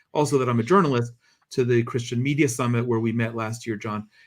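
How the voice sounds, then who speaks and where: Speaking in an American accent, a man with an unremarkable speaking voice keeps a medium pitch and fairly even intonation. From US, New Jersey. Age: 50s. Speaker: journalist, foundation president. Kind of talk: interview.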